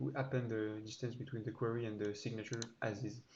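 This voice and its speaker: Somewhat breathy and monotone, a man speaks at a medium pitch and moderate pace. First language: not English. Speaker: programmer YouTuber. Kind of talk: code walkthrough tutorial. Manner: halting, many fillers.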